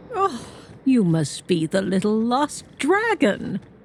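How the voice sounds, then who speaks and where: In a put-on character voice, a female-sounding speaker goes at a fairly slow pace, her pitch fairly high for a woman and swinging very widely. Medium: video game. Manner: stately, proud.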